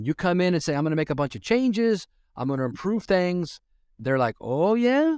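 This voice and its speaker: With an American accent, a high-pitched man speaks at a fairly quick pace with very wide pitch swings, in a dry, close sound with no echo on a very clean, silent recording. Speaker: transit executive. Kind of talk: interview.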